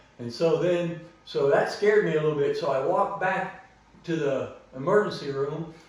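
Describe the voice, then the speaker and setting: In a room with audible echo and noticeable background noise, a man with an American accent speaks at a moderate pace in a high voice with ordinary pitch variation. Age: 60s. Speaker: vlogger. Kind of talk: personal story told to camera.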